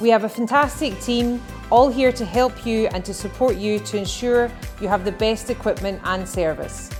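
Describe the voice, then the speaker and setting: Music plays in the background as a woman speaks at a moderate pace. Her fairly high voice shows ordinary pitch variation. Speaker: business promotional narrator. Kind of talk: corporate promotional narration.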